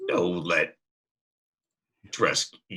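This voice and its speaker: This is a raspy, put-on character voice. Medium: actual play. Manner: terse broken speech, clipped; blunt, fearless.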